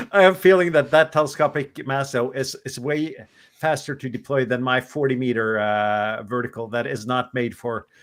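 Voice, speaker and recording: A man talks at a medium pitch and moderate pace. His pitch varies in an ordinary way, and the recording is very clean with a silent background. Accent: non-native. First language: not English. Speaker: ham radio show host. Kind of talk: casual chat.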